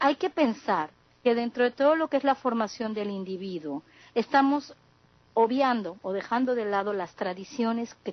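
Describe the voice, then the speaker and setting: Her intonation is lively and her pitch fairly high for a woman. She speaks at a moderate pace. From southeast Mexico. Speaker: communication sciences graduate, panelist. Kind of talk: panel discussion.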